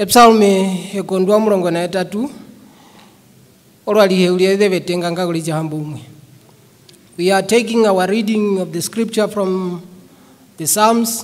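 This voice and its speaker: A man's high voice at a moderate pace, with fairly even intonation and long, frequent pauses. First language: a Bantu language, not English. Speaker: preacher. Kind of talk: sermon. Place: church. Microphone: podium.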